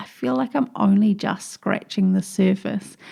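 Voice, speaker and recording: A woman's medium-pitched, dark, mellow voice with a strong New Zealand accent, somewhat breathy, at a moderate pace against a quiet background. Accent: thick New Zealand. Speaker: podcast host, digital marketing coach. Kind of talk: solo podcast tutorial.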